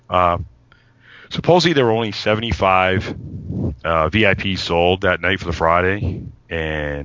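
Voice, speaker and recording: Over noticeable background noise, a man speaks in a very deep, low voice with fairly even intonation. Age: 40s. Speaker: music fan and collector. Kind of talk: casual chat.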